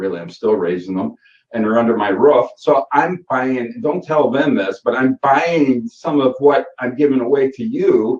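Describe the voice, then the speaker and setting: A man with a Michigan accent talks at a moderate pace and medium pitch. His pitch swings very widely. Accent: Michigan accent, noticeable to outsiders. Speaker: SEO course instructor. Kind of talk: live Q&A session. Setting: live online call. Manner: casual, with frequent fillers.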